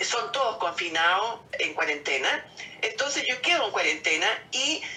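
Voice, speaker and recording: A woman with a Chilean accent speaks at a fairly slow pace, her pitch swinging very widely. Noticeable background noise sits behind her. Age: 70s. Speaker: COVID-19 survivor. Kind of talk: interview answer, personal testimony.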